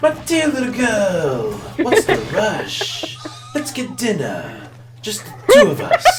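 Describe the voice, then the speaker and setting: Someone speaks in a put-on character voice at a fairly slow pace. Loud background noise fills the clip. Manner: seductive, sly.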